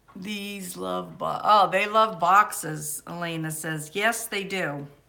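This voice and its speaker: A woman with a bright, sharp tone. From Maine. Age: 60s. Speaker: homesteading livestreamer. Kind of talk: casual live stream chat.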